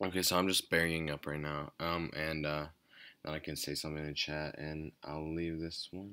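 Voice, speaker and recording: A man speaks quietly at a moderate pace with a very deep, low pitch and a bright, sharp tone. His intonation is monotone and flat, in a very clean recording with a silent background. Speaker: gaming YouTuber. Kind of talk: gameplay commentary. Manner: quiet, low energy; hesitant, many fillers.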